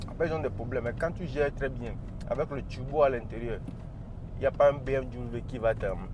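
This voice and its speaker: A man speaks in an animated tone. His pace is fairly quick. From Africa. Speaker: car reviewer. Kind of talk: casual car review while driving. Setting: in a car.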